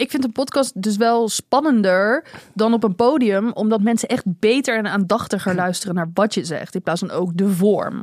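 A woman with an unremarkable speaking voice and a fairly high pitch talks at a moderate pace with ordinary pitch variation and hardly any pauses. The recording is very clean with a silent background, and the sound is dry and close, with no echo. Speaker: podcast host. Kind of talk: casual chat.

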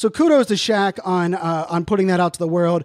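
The recording is very clean, with a silent background and a dry, close sound with no echo. A man speaks at a fairly quick pace. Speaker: podcast host. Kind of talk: solo podcast monologue. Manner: fast talker, sporadic, rambling.

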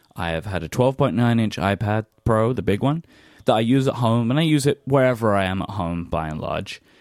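Medium pitch from a man with a British accent, dry and close with no echo. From British Isles. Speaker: podcast host. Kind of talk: casual chat.

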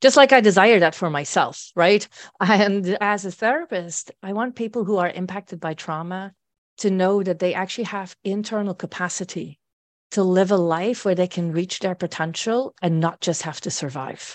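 Against a quiet background, a woman with a Dutch accent and a medium pitch speaks at a moderate pace with ordinary pitch variation. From Netherlands. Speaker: therapist. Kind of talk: interview.

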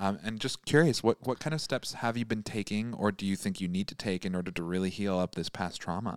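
Speaking in a normal speaking voice, a man with an American accent talks at a fairly quick pace with hardly any pauses and a fairly low pitch, captured on a very clean recording with a silent background and a dry, close sound with no echo. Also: ordinary pitch variation. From Michigan. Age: 20s. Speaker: tarot reader. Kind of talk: tarot reading.

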